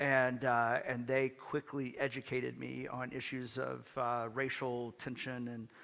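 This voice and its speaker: With an American accent, a man speaks at a medium pitch. His intonation is monotone and flat. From US South. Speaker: minister. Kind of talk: casual chat.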